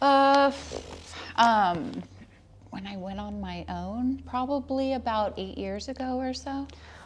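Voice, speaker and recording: Speaking with a Californian accent, a woman goes at a very slow pace with long, frequent pauses. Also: big swings in loudness. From Southern California, San Dimas. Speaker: realtor. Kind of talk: interview storytelling.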